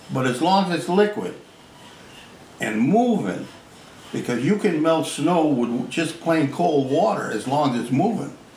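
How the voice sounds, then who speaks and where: Against noticeable background noise, a man with a fairly high pitch and lively intonation speaks at a fairly slow pace, leaving long, frequent pauses. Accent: American. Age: 80s+. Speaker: inventor. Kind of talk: interview answer. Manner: casual, folksy.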